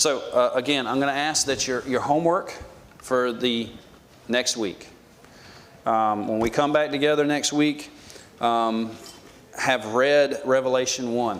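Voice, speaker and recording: A man with an American accent, medium pitch, fairly even intonation and a fairly slow pace, with long, frequent pauses, audible room echo and noticeable background noise. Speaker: Bible class teacher. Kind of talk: Bible class lecture. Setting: church classroom with audience. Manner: casual, conversational with fillers.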